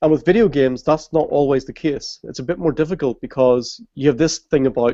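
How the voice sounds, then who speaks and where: A man's fairly high-pitched voice, dark and mellow in tone, with ordinary pitch variation and a fairly quick pace. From Ireland. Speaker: games user research expert. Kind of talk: interview on live video hangout.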